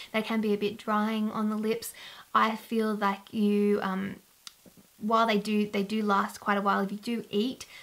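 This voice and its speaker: In an Australian accent, the speaker talks at a moderate pace in a monotone, flat intonation, on a very clean recording with a silent background. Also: woman, fairly high pitch for a woman. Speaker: beauty vlogger. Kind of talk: casual product review to camera.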